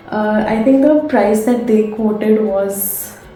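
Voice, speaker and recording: Over background music, a woman speaks fairly slowly at a fairly high pitch. Her intonation stays fairly even, and room echo is audible. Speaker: book vlogger. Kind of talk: casual vlog. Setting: at home, late at night.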